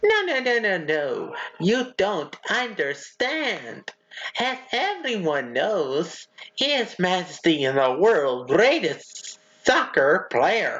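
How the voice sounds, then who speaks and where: A cartoonish character voice, fairly high in pitch, at a very slow pace. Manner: fussy, flustered.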